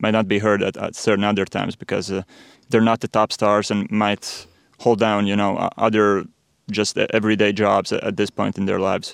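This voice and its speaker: Over a quiet background, a man speaks at a moderate pace in a fairly low pitch with monotone, flat intonation and a dry, close sound with no echo. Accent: Latvian. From Latvia, Riga. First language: Latvian. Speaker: sports podcaster. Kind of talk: interview. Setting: studio. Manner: halting.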